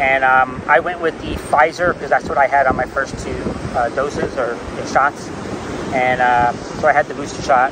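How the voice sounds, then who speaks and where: Noticeable background noise under a man's dry, echo-free voice. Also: moderate pace. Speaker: vlogger. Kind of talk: casual vlog chat. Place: beach. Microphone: lapel.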